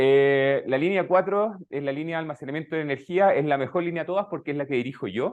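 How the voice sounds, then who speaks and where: With a Chilean accent, a man speaks at a fairly high pitch. His pace is moderate and his pitch variation ordinary. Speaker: researcher. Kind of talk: lecture. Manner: hesitant, many fillers.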